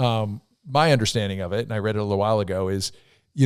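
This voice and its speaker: A man speaks in a normal speaking voice, fairly low-pitched with ordinary pitch movement, on a very clean recording with a silent background. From US Northeast. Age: 60s. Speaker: podcast host. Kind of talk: casual chat.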